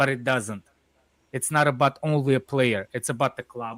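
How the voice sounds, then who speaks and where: Heard in a dry, close sound with no echo, a man with a Russian accent speaks with ordinary pitch variation. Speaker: football fan panelist. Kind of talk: heated debate. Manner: halting.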